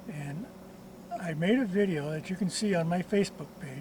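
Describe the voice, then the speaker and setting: A man with a high-pitched voice talks as noticeable noise carries in the background. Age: 80s+. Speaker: retired mechanic, DIY car repair video maker. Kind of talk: tutorial. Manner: casual, with frequent hesitations.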